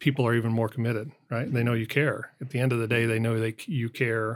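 An unremarkable speaking voice from a man, medium in pitch with fairly even intonation, in a very clean recording with a silent background. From US, southern Colorado. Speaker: business executive. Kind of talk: interview.

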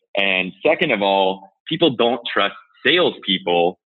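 Speaking at a fairly slow pace with an American accent, this is a normal speaking voice. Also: man. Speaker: head of sales, army veteran. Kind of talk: casual interview.

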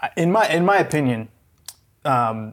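A man with a medium pitch and a normal speaking voice talks at a fairly slow pace. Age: 30s. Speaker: podcast host and producer. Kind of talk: interview.

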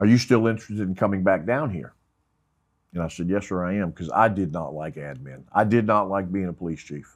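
Over a quiet background, a man with an American accent and a very deep, low pitch talks at a fairly quick pace, with ordinary pitch variation and big swings in loudness. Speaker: retired police investigator. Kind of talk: interview storytelling. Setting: studio.

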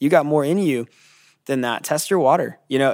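Speech moves at a very fast pace. Everything is very clean, the background silent. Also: man. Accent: American. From California. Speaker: pastor. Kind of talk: casual chat.

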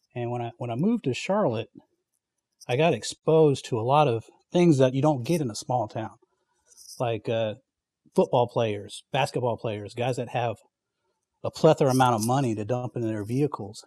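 With a North Carolina accent, a man speaks at medium pitch in a dark, mellow tone with ordinary pitch variation. His moderate pace is broken by long, frequent pauses, and the sound is dry and close with no echo. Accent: US South (North Carolina). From North Carolina (Fayetteville). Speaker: outside sales representative. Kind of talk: casual chat.

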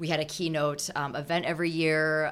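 Talking fairly quickly in an Upper Midwest accent, a woman has a very deep, low voice and flat, monotone intonation. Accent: Upper Midwest American. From Minnesota. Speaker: charity volunteer. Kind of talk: interview.

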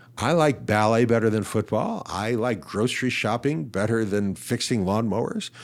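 In an ordinary speaking voice, a man talks at a moderate pace and medium pitch with ordinary pitch variation, very even loudness, and hardly any pauses. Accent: American. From Ohio, US. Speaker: physician and psychologist, author. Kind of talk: interview.

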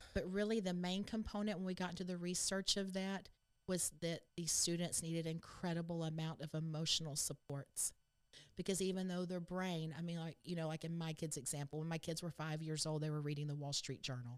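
Speaking at a fairly quick pace, a woman with a Texan accent keeps her intonation fairly even at a fairly low pitch. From Texas. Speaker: state education board member. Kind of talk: interview.

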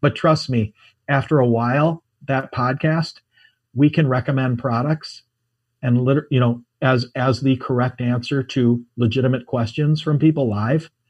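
This man's intonation stays fairly even. There is some breathiness in his voice. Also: quiet background. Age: 50s. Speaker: ecommerce entrepreneur. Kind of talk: interview. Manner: halting, many fillers.

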